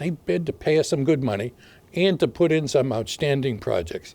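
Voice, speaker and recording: Speaking fairly quickly with a Boston accent, a man uses very wide pitch swings in a dark, mellow tone. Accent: Boston-area New England. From Massachusetts, Haverhill. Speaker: mayor. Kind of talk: video address.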